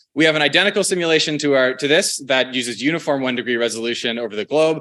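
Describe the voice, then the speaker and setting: This man talks very fast in a fairly high, bright, sharp voice. His pitch varies in an ordinary way. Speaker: conference presenter. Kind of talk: conference talk.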